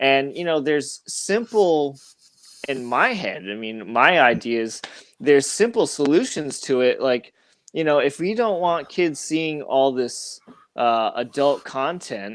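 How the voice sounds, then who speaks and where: This man has an unremarkable speaking voice with an American accent and a fairly high pitch. He talks at a fairly slow pace with lively intonation. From Boston area, Massachusetts. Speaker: YouTuber, comics channel guest. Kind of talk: casual panel chat.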